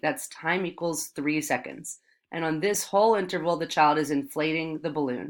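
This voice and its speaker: This woman has an ordinary speaking voice, pitched fairly low, at a moderate pace. The recording is very clean, with a silent background. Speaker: math teacher. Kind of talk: tutorial.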